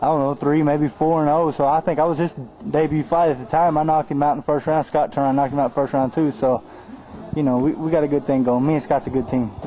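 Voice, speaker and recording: In an Arkansas accent, a man talks at a very fast pace and a fairly high pitch, keeping very even loudness and fairly even intonation. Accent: Southern US (Arkansas). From US South, Arkansas (Mansfield, near Fort Smith). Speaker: professional boxer. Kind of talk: interview. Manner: casual, laid-back.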